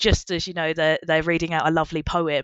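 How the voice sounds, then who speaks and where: A woman speaks with an Essex accent. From Essex, England. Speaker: marine biologist. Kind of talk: casual chat. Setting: in-person podcast recording.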